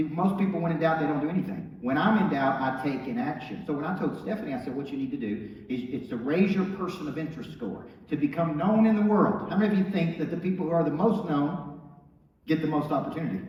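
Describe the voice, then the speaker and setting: Talking at a very fast pace, a man with an American accent and a fairly high pitch sounds animated, his intonation lively, amid audible room echo and noticeable background noise. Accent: Southern US accent noted by TV producers. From Tennessee small town. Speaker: motivational speaker and business coach. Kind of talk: motivational speech.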